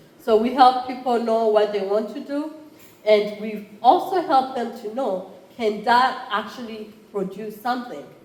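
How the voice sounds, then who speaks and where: A woman with a Rwandan accent speaks fairly slowly in a fairly high voice with ordinary pitch variation and big swings in loudness, amid audible room echo and noticeable background noise. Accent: East African (Rwandan). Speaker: college entrepreneurship program chair. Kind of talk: conference talk.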